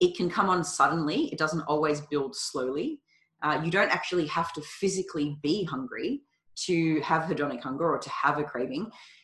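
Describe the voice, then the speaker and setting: A woman with an Australian accent talks at a fairly quick pace. Her pitch is fairly low and her intonation lively. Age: 30s. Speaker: nutrition coach. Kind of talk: casual chat.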